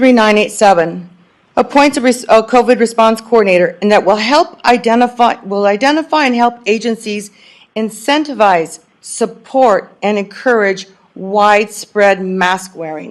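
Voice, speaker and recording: With an American accent, a woman talks at a moderate pace in a fairly high pitch. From California. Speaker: public commenter at county meeting. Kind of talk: public comment speech. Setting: public meeting hall. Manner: passionate, emphatic.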